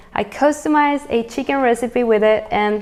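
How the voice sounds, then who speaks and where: A woman speaks at a moderate pace with a fairly high pitch and ordinary pitch variation. Noticeable background noise can be heard. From Venezuela. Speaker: cooking channel host. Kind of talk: cooking tutorial. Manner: animated.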